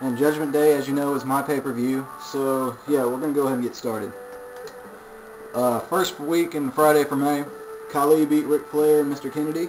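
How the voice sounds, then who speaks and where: Through noticeable background noise, a man with a fairly high pitch talks at a fairly quick pace, with fairly even intonation and long, frequent pauses. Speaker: video game commentator. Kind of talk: casual game results recap. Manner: fast.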